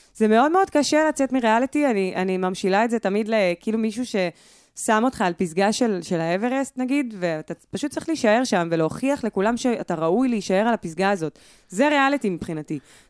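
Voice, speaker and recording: A woman with a fairly high pitch talks at a fairly quick pace with hardly any pauses, her tone animated and her intonation lively. The recording is very clean with a silent background and a dry, close sound with no echo. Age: 30s. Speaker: singer. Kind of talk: casual chat.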